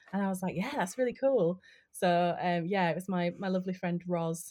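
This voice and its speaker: A woman with a Yorkshire accent, fairly low in pitch, with fairly even intonation at a moderate pace, in a very clean recording with a silent background. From West Yorkshire, northern England. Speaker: tarot card reader and stage actor. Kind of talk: casual chat.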